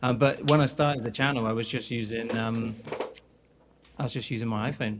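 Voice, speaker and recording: Over noticeable background noise, a man speaks at a fairly quick pace with a British accent. His medium pitch has fairly even intonation. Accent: common British. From England. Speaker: guitarist and producer. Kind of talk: casual chat.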